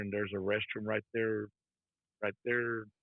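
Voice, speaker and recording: A man speaks at a moderate pace with a Texan accent. His pitch is medium. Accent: Texan American English. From Texas. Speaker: trucker, former prisoner. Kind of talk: interview testimony. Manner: soft-spoken; casual, conversational.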